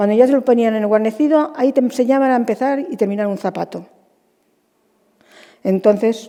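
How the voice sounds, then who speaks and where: Her tone dark and mellow, a woman with a fairly high pitch talks at a fairly quick pace. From Spain, Almansa (Albacete, La Mancha). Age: 70s. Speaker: retired shoe stitcher. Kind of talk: interview.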